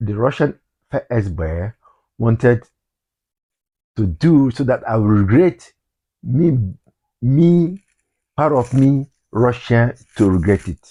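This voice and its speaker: With a Nigerian accent, a man speaks at a very slow pace and medium pitch, using lively intonation and long, frequent pauses over a quiet background. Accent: Nigerian English, Igbo. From Nigeria (Igbo, southeast). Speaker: vlogger. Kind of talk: personal vlog monologue. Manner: halting, repetitive.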